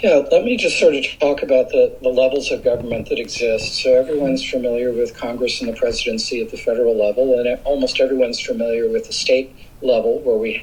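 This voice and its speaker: A man speaks at a fairly quick pace while noticeable background noise carries on. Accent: Californian. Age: 60s. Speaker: environmental advocate. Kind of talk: interview. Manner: hesitant with fillers.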